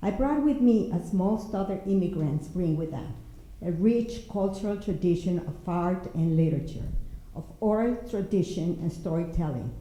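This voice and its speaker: Audible room echo surrounds a woman's medium-pitched voice. She speaks at a moderate pace with lively intonation. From Mexico. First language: Spanish. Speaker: poet and writer. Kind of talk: prepared panel talk.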